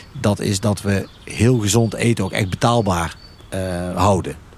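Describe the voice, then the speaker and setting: A man's fairly low voice comes through noticeable background noise. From Netherlands, North Brabant (Veghel). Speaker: retail chain executive. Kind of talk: casual discussion. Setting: outdoors at a farm picnic table.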